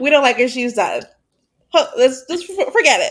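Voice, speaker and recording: A loud woman's voice at a moderate pace. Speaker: podcast co-host. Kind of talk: casual chat. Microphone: recording level low, mic quiet.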